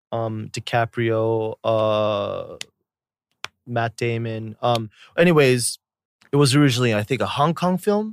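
A man's voice with ordinary pitch variation, in a very clean recording with a silent background and a dry, close sound with no echo. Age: 30s. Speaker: YouTuber. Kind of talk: casual chat.

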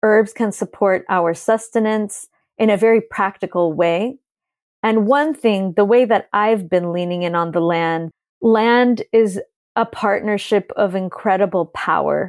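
Speaking at a fairly slow pace, a woman uses an ordinary speaking voice at a medium pitch. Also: ordinary pitch variation. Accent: American. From California. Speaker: author and ancestral medicine practitioner. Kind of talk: interview conversation.

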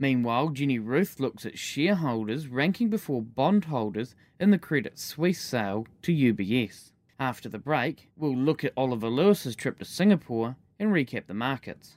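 At a moderate pace, a man with an ordinary speaking voice uses medium pitch and lively intonation, recorded very cleanly against a silent background. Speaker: podcast news presenter. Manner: formal, even-paced and measured; clear and neutral, with crisp delivery of numbers.

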